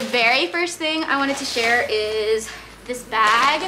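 Over music in the background, a woman talks with ordinary pitch variation. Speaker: vlogger. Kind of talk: casual vlog chat, haul. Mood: cheerful, excited. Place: home room. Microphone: camera far.

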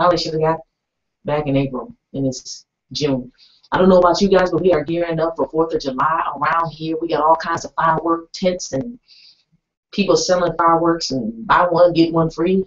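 A woman with a fairly low pitch and ordinary pitch variation speaks at a fairly quick pace. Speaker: radio show host. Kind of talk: radio show host chat. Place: studio.

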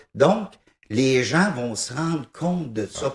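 Somewhat breathy, a man speaks at a very slow pace with lively intonation. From Quebec, raised in East Broughton / Thetford Mines; Quebec. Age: 50s. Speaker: musician, piano-bar organist and composer; interviewee. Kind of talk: TV interview, casual chat. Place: studio. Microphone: handheld.

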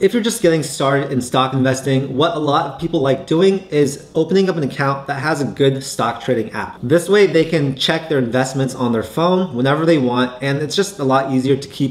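Here a man talks at a fairly quick pace with ordinary pitch variation. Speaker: finance YouTuber. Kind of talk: tutorial. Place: home room.

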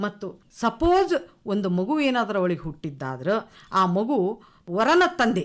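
Heard on a very clean recording with a silent background, a woman speaks at a medium pitch with very wide pitch swings. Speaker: retired lecturer, program compere. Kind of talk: radio panel discussion.

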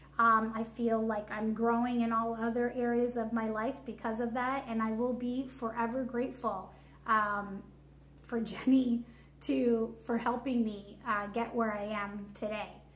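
With audible room echo, a woman talks at a fairly slow pace in a fairly high pitch, her intonation monotone and flat. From Canada, Hamilton, Ontario; Ontario, Canada. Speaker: fitness coaching client. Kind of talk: testimony. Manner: hesitant, many fillers. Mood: warm, grateful. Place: home room.

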